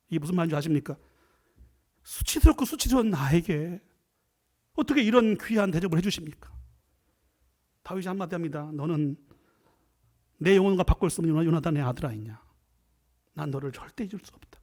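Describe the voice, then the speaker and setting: A man's high voice at a fairly quick pace, lively in intonation, with big swings in loudness and long, frequent pauses. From South Korea, Chungcheong. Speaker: professor and guest preacher. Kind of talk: sermon. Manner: fast; animated.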